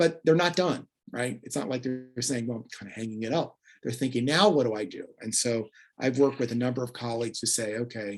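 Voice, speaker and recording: Over a quiet background, a man speaks at a fairly quick pace with ordinary pitch variation and an ordinary speaking voice. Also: medium pitch for a man. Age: 60s. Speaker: peacebuilding consultant and career coach. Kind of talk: presentation.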